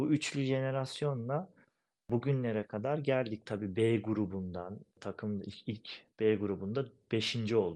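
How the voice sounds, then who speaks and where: Against a quiet background, a man with a dark, mellow tone and medium pitch speaks at a fairly slow pace with ordinary pitch variation. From eastern Turkey, Erzincan village. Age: 30s. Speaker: goalball player, national team captain. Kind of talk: interview.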